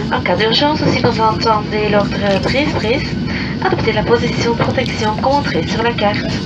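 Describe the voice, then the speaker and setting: The talking runs at a moderate pace. Loud background noise is present. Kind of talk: airline cabin safety announcement, bilingual French and English, read from a script. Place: plane.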